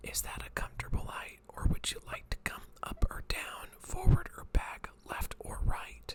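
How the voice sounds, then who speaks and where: Whispering at a fairly slow pace, a man keeps a calm tone with big swings in loudness as noticeable background noise sits behind him. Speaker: eye doctor (optometrist) doing a roleplay exam. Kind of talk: ASMR roleplay, eye exam. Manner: soft-spoken, calm, close-up whispering.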